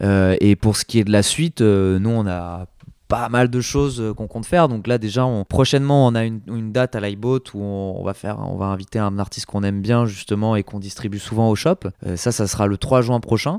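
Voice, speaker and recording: A man's fairly low voice at a fairly quick pace with ordinary pitch variation. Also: dry, close sound with no echo, very clean recording, silent background. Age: 20s. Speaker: record shop owner. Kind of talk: interview. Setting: record shop. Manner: halting, many fillers.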